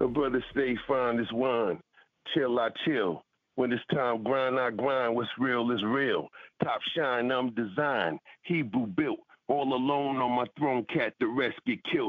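Speaking at a fairly slow pace, a man with a medium pitch, ordinary pitch variation and very even loudness has an unremarkable speaking voice. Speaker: rapper and music producer. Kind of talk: casual interview chat. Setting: radio studio interview. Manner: relaxed, laid-back, slangy.

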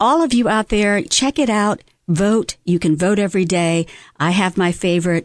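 In a normal speaking voice, a woman talks at a moderate pace and medium pitch with lively intonation and very even loudness, the sound dry and close with no echo over a quiet background. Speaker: radio host. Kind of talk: radio interview. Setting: studio.

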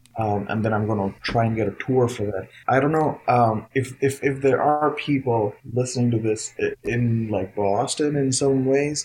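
A man's somewhat breathy, medium-pitched voice at a moderate pace, with fairly even intonation and hardly any pauses. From India, Noida (capital region). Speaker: jazz guitarist and educator. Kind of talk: interview.

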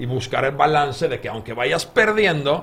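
He speaks with a Finnish accent at medium pitch. The man's intonation is lively. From Finland. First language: Finnish (speaking Spanish). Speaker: game designer. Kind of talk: interview.

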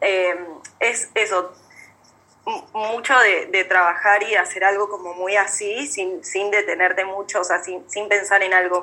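Fairly slow speech from a woman at a medium pitch. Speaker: young photographer. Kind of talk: casual chat. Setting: video call. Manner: halting.

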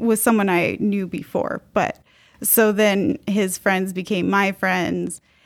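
Using an ordinary speaking voice, a woman talks with an American accent. Her pitch is medium and her pace fairly slow. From US, outside Utah. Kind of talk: casual panel discussion.

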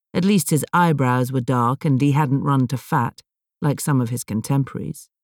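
A woman with a very deep, low pitch speaks in a dramatic tone at a moderate pace with ordinary pitch variation, the sound dry and close with no echo. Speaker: audiobook narrator. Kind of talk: scripted narration, audiobook reading. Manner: measured, dramatic, atmospheric storytelling; expressive, suspenseful.

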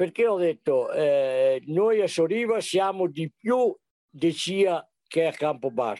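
The tone is dark and mellow, and the sound is dry and close with no echo. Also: man. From Sovramonte, Belluno province, Veneto, Italy. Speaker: retired antiques enthusiast. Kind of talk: interview storytelling. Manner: hesitant with many fillers.

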